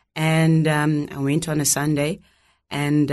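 With a Zimbabwean accent, a woman talks in a very deep, low pitch against a quiet background. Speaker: documentary maker and ministry leader. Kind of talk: testimony. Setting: studio.

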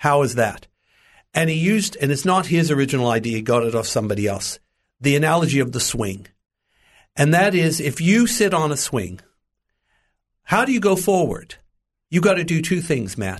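A man with an American accent, fairly high pitch, vocal fry, very wide pitch swings and long, frequent pauses. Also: moderate pace. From US, Los Angeles. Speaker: preacher and Bible teacher. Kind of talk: interview, testimony. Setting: studio.

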